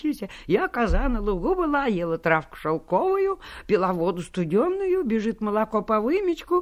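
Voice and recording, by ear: A natural voice reading aloud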